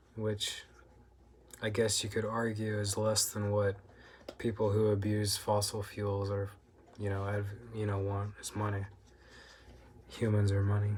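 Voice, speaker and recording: Soft-spoken and fairly low, a man talks fairly slowly in a flat monotone, leaving long, frequent pauses. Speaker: food review vlogger. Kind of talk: casual monologue. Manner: frequent throat clearing.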